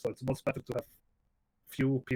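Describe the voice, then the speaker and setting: A man talks at a very fast pace in a somewhat breathy voice. The sound is dry and close, with no echo. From Iceland. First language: Icelandic. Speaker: video game streamer. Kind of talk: casual chat.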